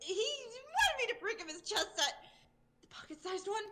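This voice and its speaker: A woman does a put-on character voice that is squeaky and extremely high, with a nervous, timid tone and lively intonation. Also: moderate pace. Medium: virtual streamer.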